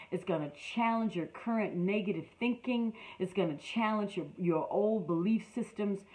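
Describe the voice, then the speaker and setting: Somewhat breathy, medium-pitched woman's voice at a moderate pace. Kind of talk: online class, motivational teaching. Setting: online class. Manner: animated.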